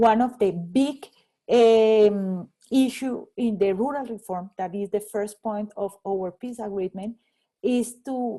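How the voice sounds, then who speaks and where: The voice has a dark, mellow tone and a Spanish accent. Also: woman. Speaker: economist and rural development researcher. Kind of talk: guest talk answering audience questions. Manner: halting, many repetitions.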